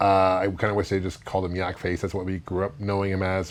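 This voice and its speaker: Noticeable background noise surrounds this recording. A man speaks at a very fast pace. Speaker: toy collector reviewer. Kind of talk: casual talk to camera.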